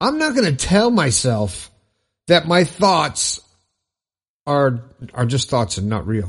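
A man speaks at a high pitch in an animated, upbeat tone, with very wide pitch swings. The background is quiet. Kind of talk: pep talk. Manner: emphatic, insistent, repeating affirmations with upbeat energy; animated, conversational, loose with self-corrections and restarts.

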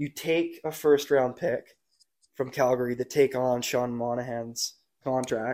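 A man with a Canadian accent and a medium-pitched voice speaks at a very slow pace with fairly even intonation. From Nanaimo, Vancouver Island, British Columbia. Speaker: podcast co-host, junior hockey player. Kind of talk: casual chat.

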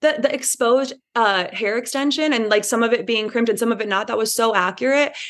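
Against a quiet background, a woman with a Midwestern US accent talks at a fairly quick pace, her fairly high pitch held in fairly even intonation. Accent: US Midwest. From Indiana. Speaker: podcast guest, reality TV fan. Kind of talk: casual chat.

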